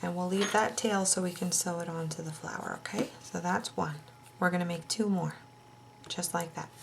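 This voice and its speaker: In an ordinary speaking voice, a woman talks at a fairly low pitch and a moderate pace. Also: fairly even intonation. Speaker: crochet tutorial host. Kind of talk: tutorial.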